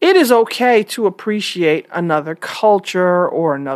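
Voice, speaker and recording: A woman talks in a plain, everyday voice with an American accent, her pitch medium and her intonation lively. The recording is very clean, with a silent background. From New York. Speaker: podcast host. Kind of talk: solo opinion monologue.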